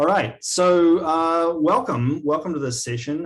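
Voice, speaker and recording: A man with a slight New Zealand accent speaks with ordinary pitch variation. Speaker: agile coaching leader. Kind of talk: webinar presentation. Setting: video call.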